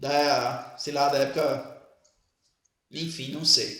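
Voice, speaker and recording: A man is speaking. The room echo is audible. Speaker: teacher. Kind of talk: lecture.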